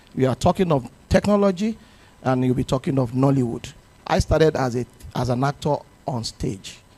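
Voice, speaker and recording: In a dry, close sound with no echo, a man with a dark, mellow, somewhat breathy medium-pitched voice talks fairly quickly with lively intonation and long, frequent pauses. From Nigeria. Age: 60s. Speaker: actor. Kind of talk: panel discussion.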